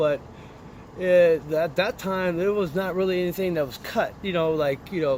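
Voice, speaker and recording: The speaker is a man with an American accent. He talks at a high pitch. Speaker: recovering addict. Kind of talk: interview testimony. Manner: halting, repetitive.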